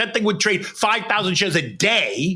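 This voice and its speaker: Raising and projecting his voice in an animated tone, a man with an American accent speaks at a high pitch over noticeable background noise. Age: 60s. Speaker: former stock exchange floor trader. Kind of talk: interview.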